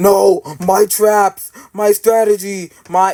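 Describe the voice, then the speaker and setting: Putting on a cartoonish character voice, a man speaks at a very slow pace and a high pitch. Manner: theatrical, villainous.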